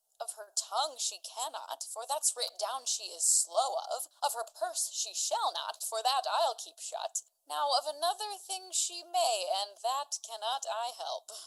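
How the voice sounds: Big pitch swings mark this put-on character voice, delivered at a fairly slow pace. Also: woman, high pitch for a woman, fairly bright tone.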